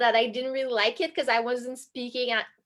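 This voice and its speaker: With a French accent, a woman talks in a high pitch and with fairly even intonation. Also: very clean recording, silent background. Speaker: college synchronized skater. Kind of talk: casual talk on a video stream.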